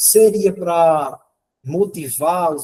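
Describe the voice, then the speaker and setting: This man's somewhat breathy voice has a dark, mellow tone and ordinary pitch variation. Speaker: workshop presenter, math educator. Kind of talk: lecture.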